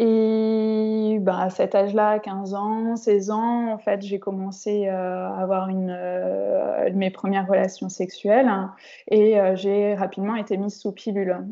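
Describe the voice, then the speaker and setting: A woman's medium-pitched voice, flat and monotone, at a very slow pace. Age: 30s. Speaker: sophrologist, endometriosis patient. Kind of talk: interview, personal testimony. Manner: hesitant, many fillers.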